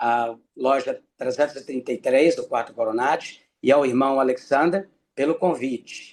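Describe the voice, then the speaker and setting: A man with a plain, everyday voice and a fairly high pitch talks at a fairly slow pace. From Brazil, Minas Gerais (Ipanema). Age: 60s. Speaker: freemason lecturer. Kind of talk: lecture.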